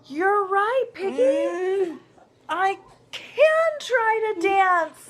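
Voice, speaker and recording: A woman's put-on character voice, extremely high-pitched, at a very slow pace. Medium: read story. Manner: earnest, emotional.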